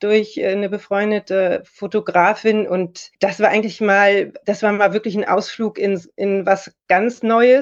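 A woman speaks at a fairly slow pace with a fairly high pitch. Hers is a plain, everyday voice. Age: 40s. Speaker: lawyer and model. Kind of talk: casual interview.

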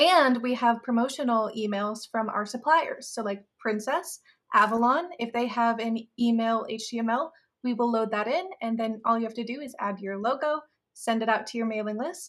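A woman with a plain, everyday voice speaks at a moderate pace, her fairly high pitch moving with ordinary variation. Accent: American. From Iowa, Des Moines. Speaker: marketing manager. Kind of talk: casual chat.

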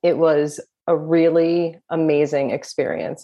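The voice has a dark, mellow tone in a New Jersey accent. The background is quiet. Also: woman. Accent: New Jersey American. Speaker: death doula, former pastry chef. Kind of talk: interview conversation.

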